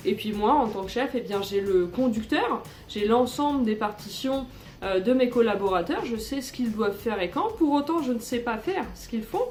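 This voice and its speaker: At a moderate pace with ordinary pitch variation, the voice comes through audible room echo and noticeable background noise. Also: woman. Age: 30s. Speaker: orchestra conductor. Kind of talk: personal testimony interview. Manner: hesitant, many fillers.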